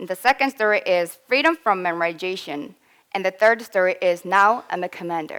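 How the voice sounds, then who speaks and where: Speaking with a slight Korean accent, a woman talks at a fairly quick pace and a medium pitch with lively intonation. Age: 20s. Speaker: English learner, student. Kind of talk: presentation.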